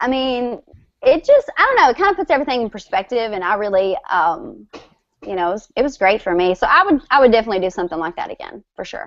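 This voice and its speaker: With a strong Southern US accent, a woman speaks at a high pitch, her loudness swinging widely. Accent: strong Southern country. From West Tennessee, near Memphis. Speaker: country singer. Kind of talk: casual chat.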